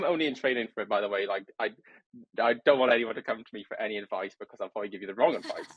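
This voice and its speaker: Ordinary pitch variation marks this man's speech in a British accent. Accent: regional British accent, noticeable. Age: 20s. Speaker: trainee property surveyor, podcast guest. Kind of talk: casual interview chat.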